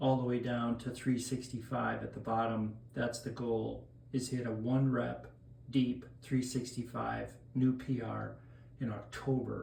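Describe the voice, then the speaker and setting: Amid audible room echo, a man with a medium pitch speaks in a flat monotone, leaving long, frequent pauses. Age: 60s. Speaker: masters powerlifter. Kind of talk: casual explanation of a training plan. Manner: casual, with filler hesitations.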